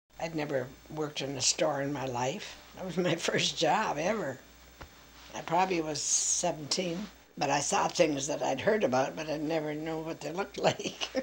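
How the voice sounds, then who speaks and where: A woman speaks with a very deep, low pitch at a moderate pace. Her pitch varies in an ordinary way, and background noise is noticeable. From Quebec, Canada. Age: old. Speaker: retired nurse and lab worker. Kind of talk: interview answer.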